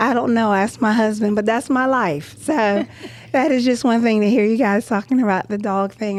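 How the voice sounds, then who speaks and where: In an American accent, a woman with a plain, everyday voice talks at a moderate pace, her fairly high pitch showing ordinary pitch variation. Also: very even loudness. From Philadelphia, US. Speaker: podcast co-host. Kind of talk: casual chat.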